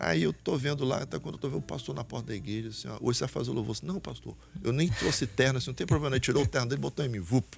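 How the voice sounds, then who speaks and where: A man talks very fast with vocal fry and very wide pitch swings. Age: 60s. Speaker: pastor. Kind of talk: testimony.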